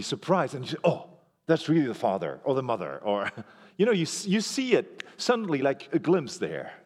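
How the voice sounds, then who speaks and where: A man with a French accent, very wide pitch swings and a moderate pace, in a very clean recording with a silent background. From Belgium. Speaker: pastor. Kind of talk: sermon. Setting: church. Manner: animated.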